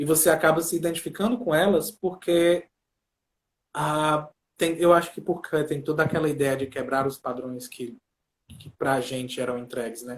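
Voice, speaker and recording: Big swings in loudness mark this man's speech. His fairly high voice moves at a moderate pace. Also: ordinary pitch variation. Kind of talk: casual chat.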